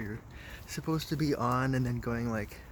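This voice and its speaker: At a moderate pace, a man mumbles his words. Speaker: vlogger. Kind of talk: casual monologue. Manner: mumbling; halting.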